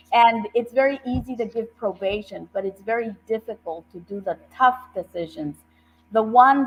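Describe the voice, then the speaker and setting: A woman speaks at a fairly slow pace. Her pitch is fairly high, with ordinary variation. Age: 60s. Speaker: judicial candidate, attorney and professor. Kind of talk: interview on a talk show. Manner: earnest, emphatic.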